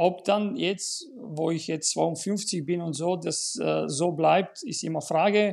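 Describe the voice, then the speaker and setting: This voice carries a Bulgarian accent with ordinary pitch variation. The pace is very slow, with hardly any pauses. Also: man, high pitch for a man. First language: Bulgarian (speaking German). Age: 50s. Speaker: tennis school owner and coach. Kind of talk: casual chat.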